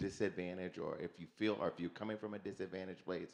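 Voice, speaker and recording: This man speaks with an American accent. His voice has vocal fry. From United States. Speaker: audience member. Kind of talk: panel discussion.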